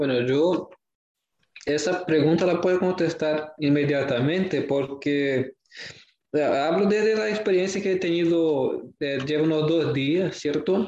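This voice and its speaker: Speaking at a very slow pace in a Portuguese accent, a man holds a fairly high pitch and very even loudness. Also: ordinary pitch variation. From Brazil. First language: Portuguese (speaking Spanish). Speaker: student. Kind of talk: casual discussion. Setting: virtual recording. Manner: halting.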